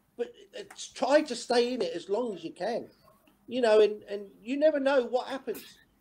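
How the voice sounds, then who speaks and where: A man with an English accent speaks in an extremely high pitch at a moderate pace, with ordinary pitch variation and big swings in loudness. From England. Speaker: former footballer. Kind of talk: casual chat. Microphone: video call.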